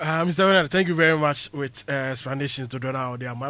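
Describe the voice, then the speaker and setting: A man with a Ghanaian accent speaks at a fairly high pitch with a bright, sharp tone and ordinary pitch variation. The recording is very clean, with a silent background. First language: Twi. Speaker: sports radio presenter. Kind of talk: radio interview.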